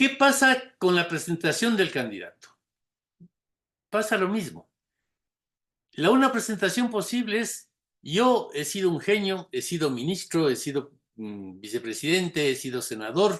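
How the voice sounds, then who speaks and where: At a fairly slow pace with long, frequent pauses, a man speaks at a high pitch with very wide pitch swings. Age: old. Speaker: lecturer on political campaigns. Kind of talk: lecture.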